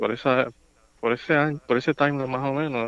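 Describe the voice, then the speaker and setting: Man's voice with fairly even intonation, dry sound and no echo. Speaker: podcast guest. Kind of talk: casual podcast conversation. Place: home room. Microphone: handheld.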